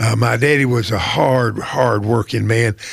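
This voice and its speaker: With an Appalachian accent, a man speaks at a moderate pace and medium pitch with ordinary pitch variation over noticeable background noise. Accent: Appalachian North Carolina Southern. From US South, Wilkes County, North Carolina. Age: 80s+. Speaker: retired poultry company personnel manager. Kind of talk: interview conversation. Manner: halting, many repetitions and fillers.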